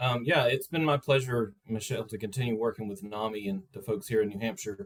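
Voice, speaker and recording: In a Southern US accent, a man talks at a fairly quick pace with hardly any pauses and lively intonation. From US South. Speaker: crisis service representative. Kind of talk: panel discussion. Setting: video call.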